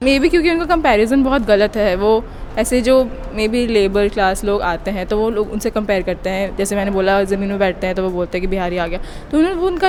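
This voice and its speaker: Fairly high female speech against noticeable background noise. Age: young. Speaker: interviewee. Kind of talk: street interview.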